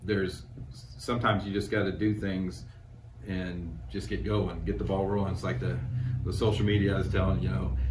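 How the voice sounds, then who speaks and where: A man with a very deep, low voice talks at a fairly quick pace with lively intonation, and audible room echo surrounds him. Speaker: screen printing business owner. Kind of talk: casual interview. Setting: on location at a store. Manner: hesitant, many fillers.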